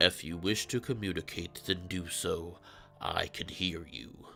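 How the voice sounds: In a put-on character voice, a man rumbles at a very deep, low pitch and a fairly slow pace over clear background noise.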